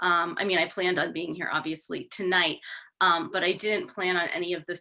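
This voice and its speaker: This woman has a New York accent and a medium pitch. Her tone is bright and sharp. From New York City. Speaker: attorney and author. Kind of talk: public talk. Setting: video call. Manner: informal, hesitant fillers.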